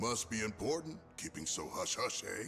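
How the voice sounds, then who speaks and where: A man puts on a character voice at a medium pitch and moderate pace, with clear background noise behind him. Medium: video game.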